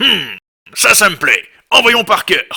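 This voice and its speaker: A put-on character voice comes at a fairly slow pace. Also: man. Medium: fan dub. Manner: gruff, shouting.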